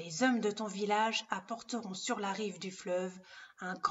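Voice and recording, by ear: Someone reads a passage aloud in a natural voice, keeping the intonation fairly even.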